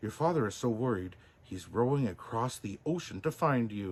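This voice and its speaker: The speaker uses a put-on character voice at a moderate pace. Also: man, medium pitch for a man. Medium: read story. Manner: scolding, buzzing.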